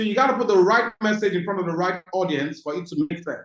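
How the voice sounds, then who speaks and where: A man speaks with a Nigerian accent and lively intonation. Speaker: business coach. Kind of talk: webinar talk.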